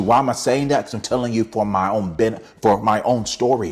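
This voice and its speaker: Against noticeable background noise, a man speaks in an animated tone. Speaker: motivational speaker and author. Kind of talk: motivational talk to camera. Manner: halting, many restarts.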